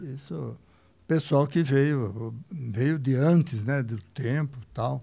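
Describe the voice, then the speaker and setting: A man with a somewhat breathy, dark, mellow tone speaks very slowly at a medium pitch, his pitch varying in an ordinary way. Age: 80s+. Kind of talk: podcast interview answer.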